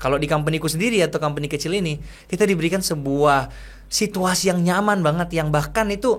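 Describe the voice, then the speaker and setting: A man speaks at a very fast pace with a Makassar accent. His voice is high, with ordinary pitch variation. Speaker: content creator and entrepreneur. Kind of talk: interview conversation.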